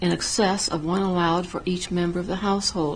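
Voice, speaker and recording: A woman speaks at a moderate pace and a medium pitch, with audible room echo and noticeable background noise. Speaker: town council member. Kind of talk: council meeting report. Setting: town council meeting.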